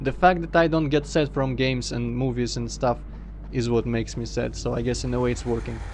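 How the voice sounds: A man talks at a fairly quick pace with a slight Russian accent.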